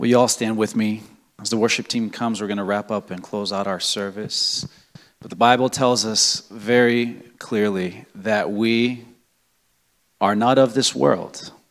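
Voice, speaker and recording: Fairly low in pitch, a man talks at a fairly slow pace with fairly even intonation. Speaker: pastor. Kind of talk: church service hosting and prayer. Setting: church. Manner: halting, many fillers.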